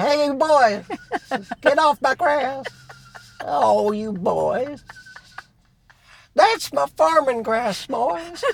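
In a Southern accent, a put-on character voice speaks at a high pitch. The pace is very slow, broken by long, frequent pauses.

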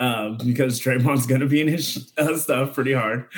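A man speaks at a moderate pace with an American accent. He has a plain, everyday voice at a medium pitch. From Phoenix, Arizona. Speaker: writer and former comedian. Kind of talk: casual sports chat.

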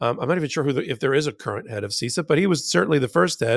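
The recording is very clean, with a silent background. A man speaks in an unremarkable speaking voice, fairly high in pitch, with lively intonation. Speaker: legal podcast co-host and trial attorney. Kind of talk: casual legal news commentary.

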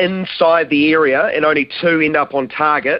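In a New Zealand accent, a man with a fairly high pitch speaks at a fairly slow pace with fairly even intonation. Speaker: sports commentator. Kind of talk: live football goal commentary, building to an explosive call.

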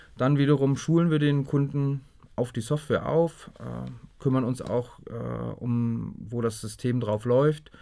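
A man's dark, mellow tone at medium pitch, fairly slow, with ordinary pitch variation, on a very clean recording with a silent background. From northeastern Germany, Greifswald. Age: 40s. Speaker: software company director. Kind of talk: interview. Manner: hesitant with many fillers.

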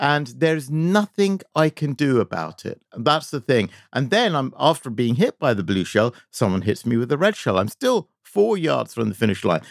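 Spoken at a moderate pace with hardly any pauses, the voice swings very widely in pitch over a very clean, silent-background recording with a dry, close sound and no echo. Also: man, fairly high pitch for a man. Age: 50s. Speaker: video game industry executive. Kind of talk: casual chat.

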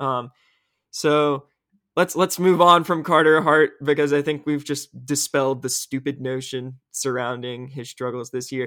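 A man speaks with a bright, sharp tone at a fairly high pitch, on a very clean recording with a silent background. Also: fairly even intonation, fairly slow pace, dry, close sound with no echo. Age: young. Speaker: hockey podcast host, sports writer. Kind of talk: casual sports chat.

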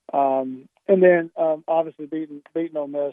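A man is talking. His accent is Southern US. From South Carolina, Columbia. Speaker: college football coach. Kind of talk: phone interview. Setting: phone call.

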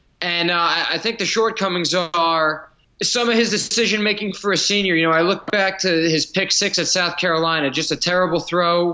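Here a man with a high pitch speaks at a fairly quick pace with hardly any pauses, keeping fairly even intonation and very even loudness. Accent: American. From New Jersey. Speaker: sports beat writer. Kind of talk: casual chat.

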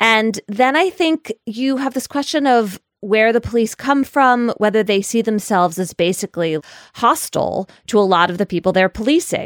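Here is an ordinary speaking voice from a woman, fairly high in pitch, with lively intonation and very even loudness. She keeps a moderate pace with hardly any pauses, and the sound is dry and close with no echo, on a very clean recording with a silent background. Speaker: podcast host and legal journalist. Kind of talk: casual discussion.

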